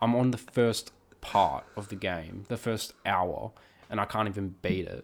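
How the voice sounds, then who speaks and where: A man with a fairly low pitch delivers his words at a fairly slow pace, his pitch varying in an ordinary way. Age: 20s. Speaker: film industry worker. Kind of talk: casual chat.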